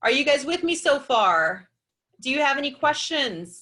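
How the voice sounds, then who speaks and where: A woman speaks with a raised, projected voice at a high pitch. Her pitch swings very widely. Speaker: chiropractor and wellness speaker. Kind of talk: webinar presentation. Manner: fast; animated.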